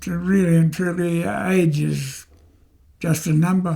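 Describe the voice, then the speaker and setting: A man's high yet dark and mellow voice, fairly slow, with fairly even intonation. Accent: Australian. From Australia, North Queensland. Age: 90s. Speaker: war veteran. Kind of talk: interview. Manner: halting.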